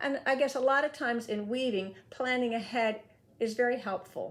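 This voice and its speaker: An ordinary speaking voice from a woman, with ordinary pitch variation and a moderate pace, on a very clean recording with a silent background. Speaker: weaver. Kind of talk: tutorial talk to camera.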